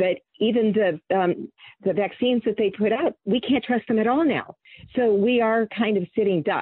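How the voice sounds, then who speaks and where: A woman's unremarkable speaking voice, fairly high, with an American accent, ordinary pitch variation, very even loudness and a moderate pace. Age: 60s. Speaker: activist organizer. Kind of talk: interview. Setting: phone or video call.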